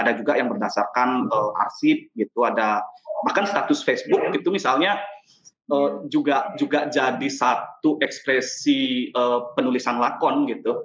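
Speaking at a moderate pace, the man keeps his loudness very even throughout. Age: young. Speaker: playwright and theatre director. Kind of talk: panel discussion. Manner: halting, many fillers and repetitions.

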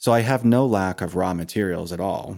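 A man with an American accent speaks at a moderate pace and fairly low pitch in a plain, everyday voice. The recording is very clean with a silent background. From Maine, US. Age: 40s. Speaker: hand hewing craftsman. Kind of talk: interview. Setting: workshop in a dairy barn.

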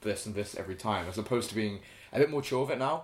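A man speaks at a very fast pace in a fairly low voice. His pitch varies in an ordinary way. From half British, half Ghanaian heritage. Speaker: podcast co-host. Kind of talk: casual chat.

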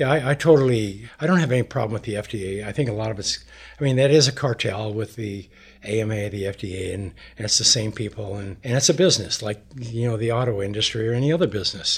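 A man talks at a very fast pace in a somewhat breathy, medium-pitched voice with ordinary pitch variation. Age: 70s. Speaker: grounding product advocate. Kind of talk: interview.

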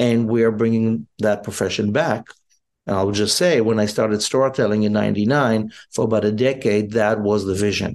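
Against a quiet background, a man talks at a fairly low pitch with very even loudness. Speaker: rabbi and spiritual leader. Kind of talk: casual chat. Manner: animated.

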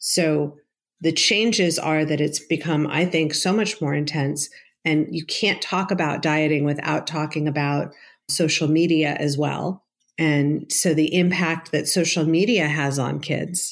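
A woman with a very deep, low pitch, at a fairly slow pace with fairly even intonation and very even loudness, in a very clean recording with a silent background. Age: 50s. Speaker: psychotherapist. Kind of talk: interview.

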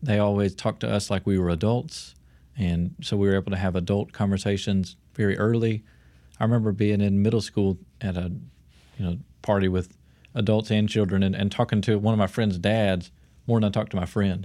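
In a very clean recording with a silent background, a man with a fairly low pitch and a dark, mellow tone speaks at a very even loudness and with fairly even intonation, leaving long, frequent pauses. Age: 20s. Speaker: PhD student and future pastor. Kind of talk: casual interview.

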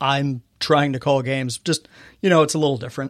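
A man with a Californian accent, fairly high in pitch, with fairly even intonation, on a very clean recording with a silent background. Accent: Californian American. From US West Coast, Inland Empire, California. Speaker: arena public address announcer. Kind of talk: casual interview chat.

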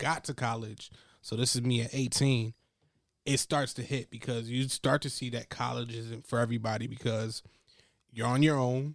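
At a moderate pace, the speech is monotone and flat in intonation, with a dry, close sound with no echo in a very clean recording with a silent background. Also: man. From Ghana, West Africa. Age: 20s. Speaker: podcast co-host. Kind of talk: casual chat.

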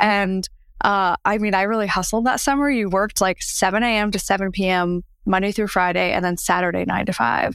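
The recording is very clean with a silent background, and a woman speaks in an ordinary speaking voice at a medium pitch. Her pace is moderate, her loudness very even and her pitch variation ordinary. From New Jersey. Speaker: mindset coach. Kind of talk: interview.

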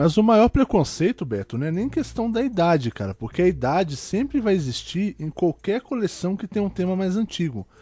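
In a dark, mellow tone with very wide pitch swings, the voice moves at a moderate pace with hardly any pauses, recorded dry and close with no echo against a silent background in a very clean recording. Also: man, high pitch for a man. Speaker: podcast host. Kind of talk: casual chat.

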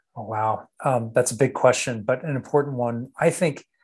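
A man with an American accent speaks at a moderate pace in an ordinary speaking voice. His pitch is medium with fairly even intonation, and the background is quiet. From Texas. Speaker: company founder and former Navy SEAL officer. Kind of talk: interview conversation.

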